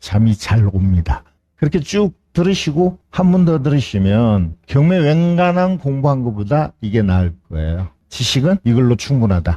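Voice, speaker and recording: Somewhat breathy and dark, mellow in tone, a man of medium pitch speaks at a fairly slow pace with very wide pitch swings and very even loudness, the sound dry and close with no echo. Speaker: real estate auction instructor. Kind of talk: lecture.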